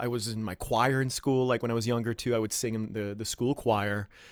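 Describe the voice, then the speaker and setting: Fairly quick and with fairly even intonation, a man talks at medium pitch. The recording is very clean, with a silent background. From Ottawa, Canada. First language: French. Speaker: stage actor and performer. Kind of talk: interview chat.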